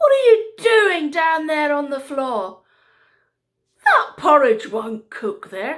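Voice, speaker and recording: A woman's high-pitched, put-on character voice with very wide pitch swings and a very slow pace. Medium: read story. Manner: imperious, demanding.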